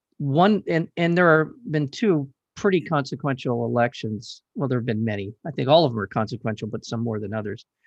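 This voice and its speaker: Quick-paced with hardly any pauses, a man with a plain, everyday voice speaks at medium pitch with lively intonation. The sound is dry and close with no echo, over a quiet background. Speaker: radio host. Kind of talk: interview. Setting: studio.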